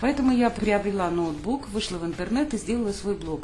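A woman at medium pitch, talking fairly quickly with ordinary pitch variation, noticeable background noise behind her. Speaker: online course instructor. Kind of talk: tutorial.

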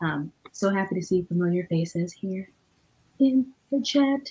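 Quietly and at a fairly slow pace, a woman speaks at a fairly low pitch with a husky, rough edge, a slightly mellow tone and lively intonation.

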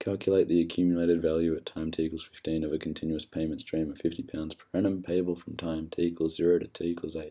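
A man speaks at a fairly quick pace in a very deep, low pitch. His intonation stays monotone and flat. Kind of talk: tutorial. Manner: hesitant, many fillers.

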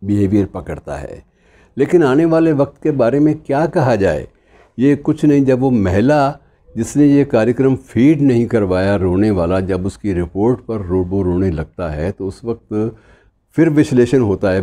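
A man speaks at a fairly slow pace in a dark, mellow tone, his pitch swinging very widely. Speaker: commentator. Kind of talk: commentary talk to viewers. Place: home room. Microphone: lapel.

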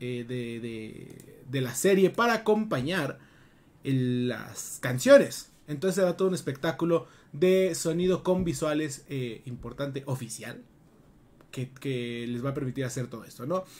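The man speaks at a fairly slow pace. His pitch swings very widely and his loudness varies greatly. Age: 30s. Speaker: gaming podcast co-host. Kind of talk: casual chat. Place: home room.

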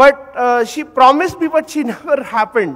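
A man's intonation is lively, with a quiet background behind him. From India, Calcutta; India. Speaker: audience member. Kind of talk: anecdote. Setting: hall with audience. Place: hall.

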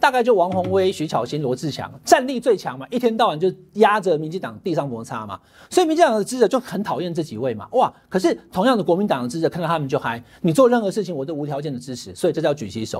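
Very fast speech from a man, with very wide pitch swings and big swings in loudness against a quiet background. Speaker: political commentator. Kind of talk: commentary. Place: studio. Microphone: lapel.

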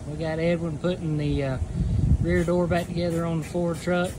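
Moderate-paced speech from a man with noticeable background noise behind it. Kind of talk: casual walkthrough commentary. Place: workshop. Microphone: phone near.

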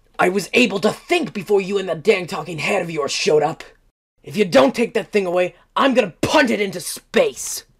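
A man's high-pitched shouting at a fairly quick pace, with lively intonation. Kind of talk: comic-book voice acting. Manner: angry, bratty, yelling.

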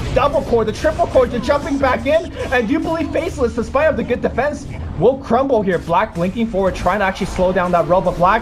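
The speech races at a very fast pace with hardly any pauses, in an animated, excited tone. Music plays in the background. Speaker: esports play-by-play commentator. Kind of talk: live sports commentary on a Dota 2 match. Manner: fast, rapid-fire play-by-play that rises to excited shouts at kills; animated, clipped call-outs, swinging from analytic to breathless.

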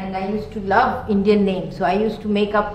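A woman speaks at a moderate pace with audible room echo around her. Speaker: interviewee. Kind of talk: interview answer. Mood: warm, fond reminiscence. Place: home room.

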